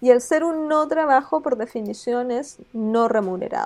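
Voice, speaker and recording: This woman talks with lively intonation. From southern Chile, small town. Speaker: law academic. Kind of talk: interview. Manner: halting, many repetitions.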